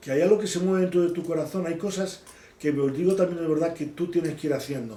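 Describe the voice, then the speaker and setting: A man at a fairly quick pace with fairly even intonation, audible room echo around him. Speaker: bible teacher. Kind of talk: bible study teaching.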